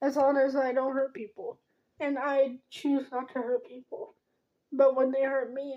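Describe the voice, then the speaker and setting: Her pitch high and her intonation fairly even, a woman speaks at a fairly slow pace. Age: 20s. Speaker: podcast host. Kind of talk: casual monologue. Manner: informal, many fillers. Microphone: poor quality mic.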